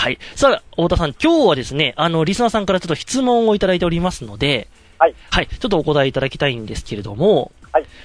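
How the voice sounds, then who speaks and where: A man's high voice at a very fast pace, with very wide pitch swings and big swings in loudness. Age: 30s. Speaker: radio host. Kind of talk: radio interview with phone guest.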